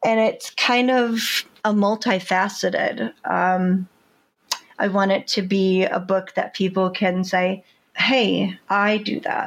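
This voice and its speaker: Very slow delivery with very even loudness and fairly even intonation. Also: woman, medium pitch for a woman. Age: 50s. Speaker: first-time memoir author. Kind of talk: interview.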